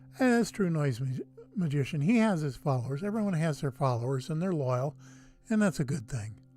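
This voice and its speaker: Over music in the background, a man with a fairly high pitch speaks at a fairly quick pace in a relaxed tone with very wide pitch swings. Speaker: YouTuber hosting a livestream about Mars images. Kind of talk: casual livestream chat. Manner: low-key, relaxed.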